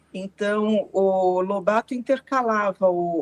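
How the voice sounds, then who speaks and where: Very slowly, a woman speaks at a medium pitch with ordinary pitch variation, and the sound is dry and close with no echo. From Brazil, rural interior of São Paulo state. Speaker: researcher and professor. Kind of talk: interview.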